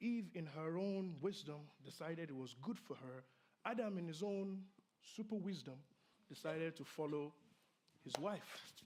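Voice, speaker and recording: In a room with audible echo, a man with a high voice talks at a moderate pace with ordinary pitch variation and long, frequent pauses. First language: not English (English is his third language). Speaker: pastor. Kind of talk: sermon.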